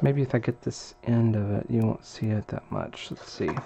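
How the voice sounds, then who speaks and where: A man mumbles with lively intonation over noticeable background noise. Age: 40s. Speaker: crafting video maker. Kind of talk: tutorial. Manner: mumbling; casual, thinking aloud.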